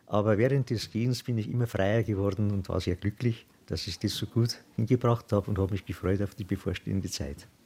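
In a very clean recording with a silent background, a man with a fairly low pitch and a dark, mellow, somewhat breathy tone talks at a fairly quick pace with ordinary pitch variation and hardly any pauses. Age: 70s. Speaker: retired volunteer. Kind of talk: interview.

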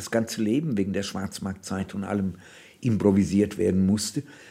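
A man talks at a moderate pace. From Oberhessen, Germany (born in Bohemia). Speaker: novelist. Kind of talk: interview narration.

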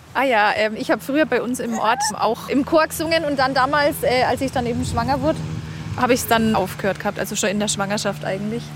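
Noticeable background noise sits behind a woman with fairly high pitch. She talks at a very fast pace with lively intonation. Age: 30s. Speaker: stay-at-home mother. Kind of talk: casual chat. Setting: outdoors at a lake.

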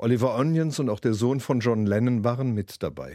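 The recording is very clean, with a silent background. A man speaks at a fairly quick pace in a dark, mellow tone with ordinary pitch variation. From Germany, Nuremberg (Franconia). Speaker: pop singer. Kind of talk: interview storytelling.

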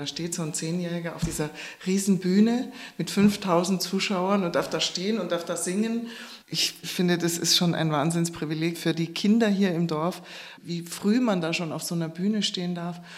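A woman speaks at a moderate pace in a fairly low voice with fairly even intonation over noticeable background noise. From Upper Bavaria, Oberammergau. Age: 50s. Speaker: actress. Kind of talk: interview.

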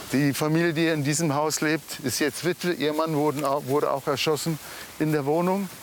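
Loudness stays very even as a man with a fairly high pitch speaks at a moderate pace in a monotone, flat intonation, with noticeable background noise behind him. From Israel, kibbutz near Gaza. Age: 40s. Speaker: massacre survivor. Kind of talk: on-location interview. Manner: halting.

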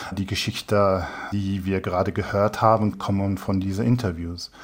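The recording is very clean with a silent background. A man with an English accent speaks at a fairly slow pace. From England. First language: English (speaking German). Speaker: human rights researcher. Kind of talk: interview answers. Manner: halting.

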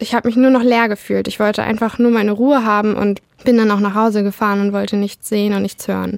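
Talking very fast, a woman delivers her words at a medium pitch with a monotone, flat intonation. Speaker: law student. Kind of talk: personal testimony.

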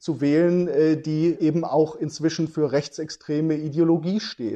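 Against a quiet background, a man with a fairly high pitch and a dark, mellow tone talks at a very slow pace. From western Germany, Iserlohn. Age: 40s. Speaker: journalist and author. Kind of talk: interview. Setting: remote link.

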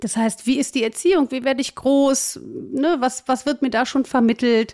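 Her pitch is high, and this woman speaks at a moderate pace. The sound is dry and close, with no echo. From Germany, Cologne. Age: 40s. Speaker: job coach. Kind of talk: interview.

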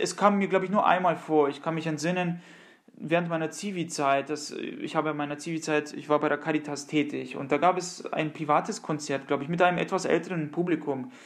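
An ordinary speaking voice from a man, fairly high in pitch, with a fairly quick pace and fairly even intonation. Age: 30s. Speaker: countertenor singer. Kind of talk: interview.

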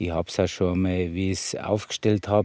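With an Upper Bavarian accent, a man speaks at a moderate pace in a very deep, low voice with monotone, flat intonation. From Bavaria, Mittenwald. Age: 60s. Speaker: master sculptor. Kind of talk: on-site interview.

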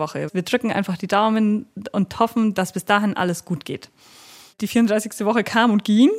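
A woman talks at medium pitch and a moderate pace, with ordinary pitch variation, in a plain, everyday voice. The sound is dry and close, with no echo. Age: 30s. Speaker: special-needs teacher and mother. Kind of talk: interview about her birth story. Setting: at her home.

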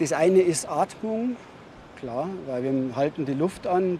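A man speaks at a fairly high pitch, with noticeable background noise behind him. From Bavaria, Neubiberg near Munich. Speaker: freediving instructor. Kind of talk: tutorial.

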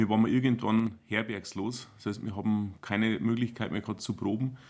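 The speaker is a man with a fairly low pitch. His intonation stays fairly even. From Bavarian Forest, Bodenmais. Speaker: band conductor and teacher. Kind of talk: casual chat.

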